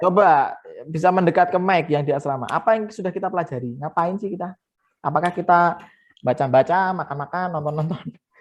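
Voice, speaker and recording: Fairly quick pace and ordinary pitch variation against a quiet background. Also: man, high pitch for a man. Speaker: math teacher. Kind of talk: online lesson. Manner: fast.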